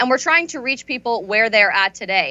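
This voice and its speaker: There is an unremarkable speaking voice with an American accent and ordinary pitch variation. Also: woman. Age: 20s. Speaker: conservative activist and author. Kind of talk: interview.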